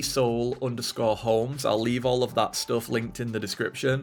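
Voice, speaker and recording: With music in the background, a man speaks at a medium pitch and a moderate pace. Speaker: Sims speed-build YouTuber. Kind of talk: voice-over narration of a game build video. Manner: casual, with frequent fillers.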